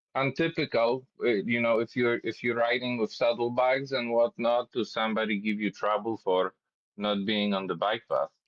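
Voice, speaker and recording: The speaker has a Polish accent and keeps a moderate pace. Pitch varies in an ordinary way. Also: man, medium pitch for a man. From Poland, Warsaw. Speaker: cyclist. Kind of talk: casual chat. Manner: halting, repeats words.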